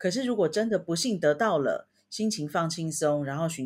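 This woman has a plain, everyday voice, fairly low in pitch, with lively intonation. She talks at a moderate pace in a very clean recording with a silent background. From Taiwan, Taipei. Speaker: podcast co-host, language learner. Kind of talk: casual chat.

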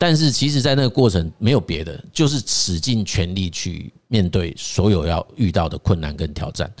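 A man's voice with very wide pitch swings. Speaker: podcast host and career counselor. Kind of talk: casual chat.

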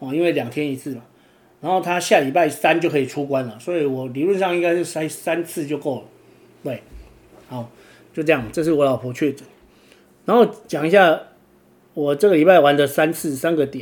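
With a Taiwanese accent, a man talks at a fairly quick pace in a fairly high voice. Long pauses come often. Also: ordinary pitch variation. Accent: Taiwanese Mandarin. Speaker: podcast host and kitesurfer. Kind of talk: casual monologue. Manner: filler-heavy, frequent 'o' particles.

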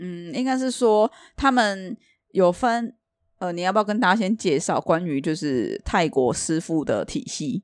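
On a very clean recording with a silent background, a woman speaks fairly slowly in a normal speaking voice at medium pitch with lively intonation. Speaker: podcast co-host selling Thai amulets. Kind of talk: casual chat.

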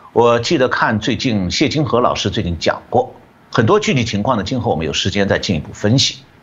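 A man with an unremarkable speaking voice talks at a medium pitch. His pace is fairly quick and his intonation lively. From China. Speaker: economist. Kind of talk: interview analysis.

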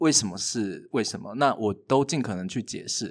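A man talks at a medium pitch with a Taiwanese accent. The recording is very clean, with a silent background. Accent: Taiwanese Mandarin. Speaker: playwright and university lecturer. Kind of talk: casual chat.

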